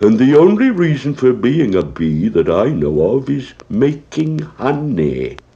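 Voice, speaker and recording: Putting on a character voice, a man at medium pitch talks at a fairly slow pace with hardly any pauses. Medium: read story. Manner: slow, ponderous.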